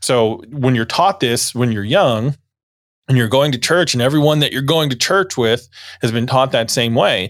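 On a very clean recording with a silent background, a man with an American accent and an ordinary speaking voice talks at a fairly quick pace, his medium pitch carrying lively intonation. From US South, northeast Florida. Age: 40s. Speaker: church deacon and blog writer. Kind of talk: casual interview conversation.

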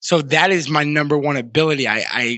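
In a plain, everyday voice, a man with an American accent talks at fairly high pitch with fairly even intonation. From Massachusetts. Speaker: entrepreneur and author. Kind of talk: interview.

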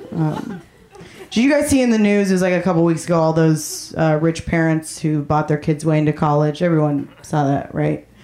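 Speech comes at a fairly quick pace with very even loudness and ordinary pitch variation. Background noise is noticeable. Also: woman, very deep, low pitch for a woman. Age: 20s. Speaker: comedian. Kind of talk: stand-up. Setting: stage with audience.

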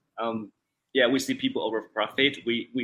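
A man talks at a fairly quick pace. His voice sits at medium pitch with a bright, sharp tone. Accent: Chinese. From central China. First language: Chinese. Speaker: gaming company account manager. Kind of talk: interview. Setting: video call. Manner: halting.

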